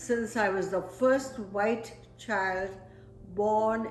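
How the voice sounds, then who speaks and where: At a very slow pace, a woman speaks with medium pitch and ordinary pitch variation, with music in the background and audible room echo. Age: 80s+. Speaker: family elder interviewed about her life. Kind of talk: oral history interview. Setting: home interview set by the fire.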